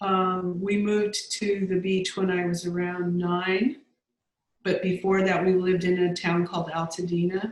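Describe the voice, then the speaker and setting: The speaker has an American accent and monotone, flat intonation. Loudness stays very even. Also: woman, medium pitch for a woman, moderate pace. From Southern California, Los Angeles. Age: 60s. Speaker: grant researcher and writer. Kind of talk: casual interview. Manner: halting, many fillers.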